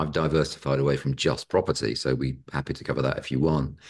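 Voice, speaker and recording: Over a quiet background, a man with a British accent speaks with vocal fry. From Britain. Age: 50s. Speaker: property investor. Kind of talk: podcast interview.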